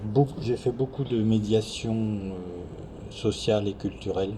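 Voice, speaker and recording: With noticeable background noise behind him, a man talks at a fairly low pitch with hardly any pauses. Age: 60s. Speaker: retired social worker. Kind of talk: interview. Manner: hesitant.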